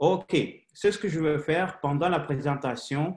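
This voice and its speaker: A man with a non-native accent and a fairly high pitch speaks at a fairly slow pace with ordinary pitch variation. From Haiti, raised mostly in Russia. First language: Russian (speaking French). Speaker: company director presenting business opportunity. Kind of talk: sales presentation webinar. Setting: online webinar. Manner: halting, many hesitations.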